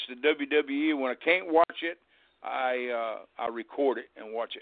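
The voice moves through ordinary pitch variation at a fairly slow pace. Its loudness swings widely. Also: man. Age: 60s. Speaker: retired pro wrestler. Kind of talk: casual interview.

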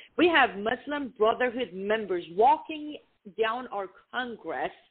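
At a very slow pace, a woman speaks with fairly high pitch. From Iran. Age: 30s. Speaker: activist. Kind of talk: interview. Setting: phone call.

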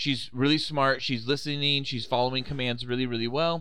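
The pace is fairly quick. The tone is bright and sharp. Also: man. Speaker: podcast host. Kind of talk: casual comedic banter.

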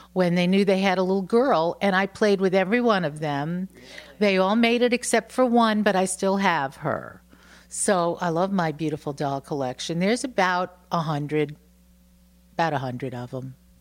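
Lively intonation and a New York accent come through in a very clean recording with a silent background. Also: woman, medium pitch for a woman, moderate pace. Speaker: bed and breakfast owner, former singer-songwriter. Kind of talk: casual interview. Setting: at her home.

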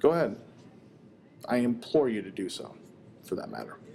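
Using a medium pitch and vocal fry, a man talks at a fairly quick pace with ordinary pitch variation and long, frequent pauses. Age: 20s. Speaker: podcast host. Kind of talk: casual chat. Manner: halting.

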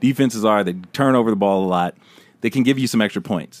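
On a very clean recording with a silent background, a man talks in a normal speaking voice, fairly low in pitch, with ordinary pitch variation. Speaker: fantasy football podcast host. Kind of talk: casual banter about fantasy football.

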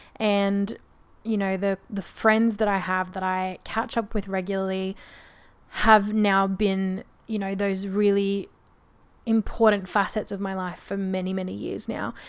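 In an Australian accent, a woman speaks at a medium pitch and a fairly slow pace with monotone, flat intonation. The recording is very clean, with a silent background. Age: 20s. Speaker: podcaster. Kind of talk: casual chat. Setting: home, on a couch.

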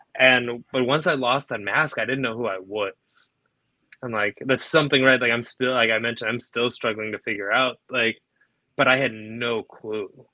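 Against a quiet background, in a dry, close sound with no echo, a man with an American accent and a plain, everyday voice speaks at a medium pitch and moderate pace with fairly even intonation. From Naperville, Illinois, US Midwest. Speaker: professional wrestler. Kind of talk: casual interview chat.

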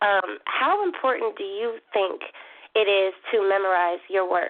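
This woman speaks at a medium pitch with an American accent. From Philadelphia, Pennsylvania. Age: 30s. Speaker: spoken word poet. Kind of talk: casual chat.

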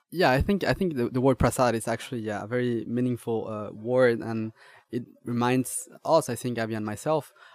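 A man with a Spanish accent talks at medium pitch and a fairly quick pace in a dry, close sound with no echo. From Mexico. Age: young. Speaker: chef and restaurant owner. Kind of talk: interview. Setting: restaurant. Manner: halting.

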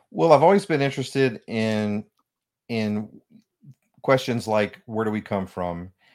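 A man at a fairly low pitch and a fairly slow pace, with ordinary pitch variation, long and frequent pauses, and a very clean recording over a silent background. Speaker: author and spiritual counselor. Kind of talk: radio interview.

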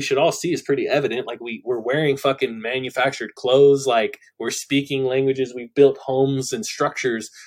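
This man talks at a moderate pace, his fairly high pitch showing ordinary variation. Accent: Californian. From Central Valley, California. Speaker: music producer and life coach. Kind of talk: casual podcast interview.

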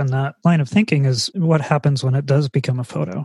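A man with an American accent talks at a moderate pace and a fairly high pitch, somewhat breathy. His pitch varies in an ordinary way, and the sound is dry and close with no echo. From California and eastern Pennsylvania. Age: 30s. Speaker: podcast host. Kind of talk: interview.

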